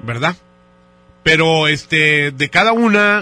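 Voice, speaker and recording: A man speaks very slowly with lively intonation while noticeable background noise carries on behind him. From northern Mexico, Monterrey. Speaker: radio host. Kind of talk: prank phone call.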